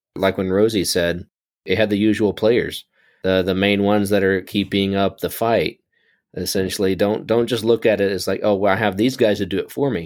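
The recording is very clean, and the background is silent. In it, a plain, everyday voice moves at a moderate pace, its pitch varying in an ordinary way. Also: man. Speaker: radiologist assistant, podcast co-host. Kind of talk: casual chat.

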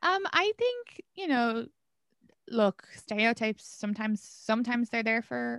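A woman with an Irish accent, fairly high pitch and lively intonation at a moderate pace, on a very clean, dry, close recording with a silent background and no echo. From Ireland. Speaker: comedian. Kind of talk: casual chat.

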